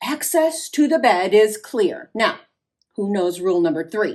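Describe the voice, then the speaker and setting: This female-sounding voice is a put-on character voice, fairly high in pitch for a woman and delivered at a moderate pace. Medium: read story. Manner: instructive, bossy.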